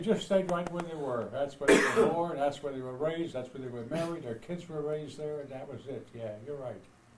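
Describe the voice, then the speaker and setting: Against noticeable background noise, a man with a fairly high voice talks at a fairly quick pace with hardly any pauses, big swings in loudness, and ordinary pitch variation. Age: 80s+. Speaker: grandfather. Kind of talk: casual family conversation.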